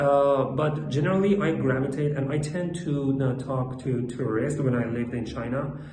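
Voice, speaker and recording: Over noticeable background noise and audible room echo, a man speaks at a moderate pace with hardly any pauses. His fairly high voice keeps a fairly even intonation. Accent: non-native. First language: not English. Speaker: English learner practicing speaking. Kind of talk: monologue speaking practice. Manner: halting, many fillers.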